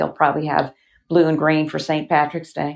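In a Southern US accent, a woman speaks at a moderate pace with a very deep, low pitch over a quiet background. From Alabama, US South. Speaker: actress and author. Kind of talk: casual interview chat.

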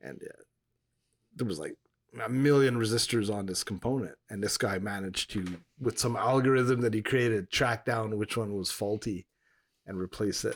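This man has an ordinary speaking voice with a fairly low pitch. He talks at a moderate pace with ordinary pitch variation. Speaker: podcast co-host. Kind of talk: casual chat.

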